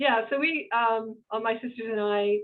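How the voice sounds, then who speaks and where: A woman speaks in an American accent. Her intonation is fairly even. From Boston, Massachusetts. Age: 60s. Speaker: business owner and CEO. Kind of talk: interview conversation. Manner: halting, many fillers.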